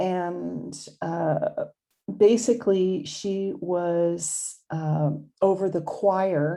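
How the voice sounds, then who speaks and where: In a Californian accent, a woman talks with a dark, mellow tone, fairly low pitch and fairly even intonation. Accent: California. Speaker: YouTube host presenting religious history. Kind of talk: narrated presentation. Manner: halting, with fillers.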